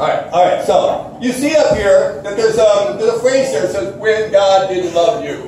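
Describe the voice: A man speaks at a moderate pace in a high pitch with a slightly mellow tone and ordinary pitch variation. Audible room echo surrounds his voice.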